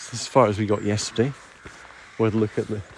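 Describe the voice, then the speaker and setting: Speech at a moderate pace comes through noticeable background noise. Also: man. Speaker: nature streamer and guide. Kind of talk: casual nature walk commentary to camera. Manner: soothing, calm.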